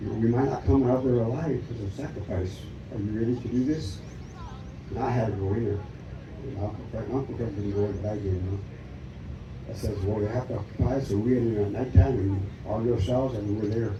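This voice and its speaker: A man with an American accent, fairly low pitch and fairly even intonation at a very fast pace, with long, frequent pauses, audible room echo and noticeable background noise. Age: 80s+. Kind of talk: testimony. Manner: halting.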